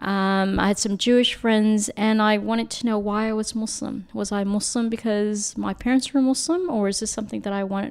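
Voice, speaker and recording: An unremarkable speaking voice belongs to a woman with an American accent, talking at a moderate pace with fairly even intonation. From United States. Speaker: academic and humanitarian. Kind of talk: casual chat.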